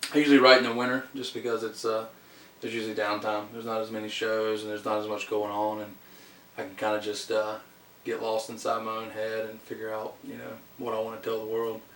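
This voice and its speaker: A man with a Southern US accent rattles along very fast at a medium pitch in a monotone, flat intonation, with noticeable background noise and audible room echo. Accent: Southern country dialect. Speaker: country singer-songwriter. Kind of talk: interview. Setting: studio. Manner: hesitant, many fillers.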